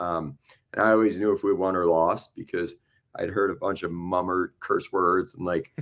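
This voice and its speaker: Against a quiet background, a man talks with a Midwestern American accent. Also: moderate pace. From Iowa, US Midwest. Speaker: sports fan. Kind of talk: casual podcast chat.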